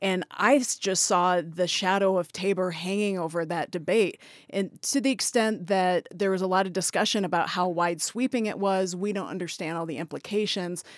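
A woman with a plain, everyday voice speaks at a moderate pace with hardly any pauses. Her pitch is medium with ordinary variation, in a very clean recording with a silent background. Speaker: radio reporter. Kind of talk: panel discussion.

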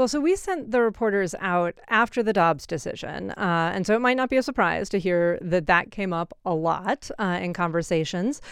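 A woman in a normal speaking voice, medium in pitch, with lively intonation at a moderate pace, on a very clean recording with a silent background. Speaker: public radio editor. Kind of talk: radio interview.

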